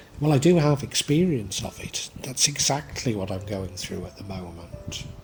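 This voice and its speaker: With music in the background, a man at a fairly low pitch speaks at a moderate pace, his voice making very wide pitch swings and big swings in loudness. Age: 60s. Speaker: tarot reader. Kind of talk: tarot reading monologue. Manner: hesitant, with fillers and restarts.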